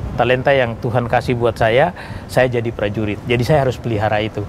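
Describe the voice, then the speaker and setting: Fairly quick speech from a man with a Papuan accent, over noticeable background noise. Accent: Papuan Indonesian. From Papua, Indonesia (Serui, Yapen islands). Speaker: retired army general. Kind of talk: interview testimony.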